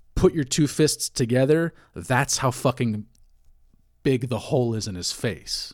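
On a very clean recording with a silent background, a man has an unremarkable speaking voice at a medium pitch with ordinary pitch variation. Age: 40s. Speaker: crypto podcaster, bartender. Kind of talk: casual monologue. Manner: conversational with many fillers.

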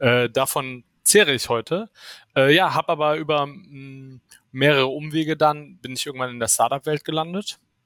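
The voice moves at a moderate pace with ordinary pitch variation and big swings in loudness. It is a normal speaking voice, recorded very clean with a silent background and a dry, close sound with no echo. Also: man, fairly high pitch for a man. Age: 30s. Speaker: startup founder and CTO. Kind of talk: interview.

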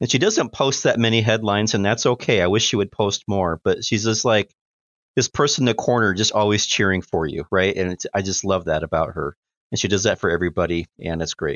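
A man with a General American accent has an unremarkable speaking voice, a fairly low pitch and ordinary pitch variation, and speaks at a fairly quick pace. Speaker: podcast host and business professor. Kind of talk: casual chat.

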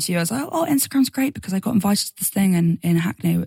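In an English accent, the speaker talks at a very fast pace with lively intonation and a somewhat breathy sound. The recording is dry and close, with no echo. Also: woman. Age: 20s. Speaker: singer-songwriter. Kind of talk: casual interview.

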